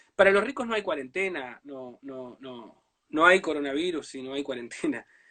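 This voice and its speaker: With a bright, sharp tone, the voice moves at a moderate pace while its loudness swings widely. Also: man, quiet background. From Uruguay, Brazil border region. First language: Portuñol (speaking Spanish). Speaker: writer. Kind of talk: interview. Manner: halting, many fillers.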